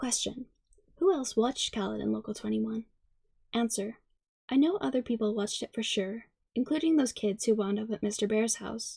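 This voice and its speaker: A soft-spoken woman talks at a fairly quick pace in a fairly high pitch. Her tone is dark and mellow, and somewhat breathy. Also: ordinary pitch variation. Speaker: ASMR creator. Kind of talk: ASMR story reading.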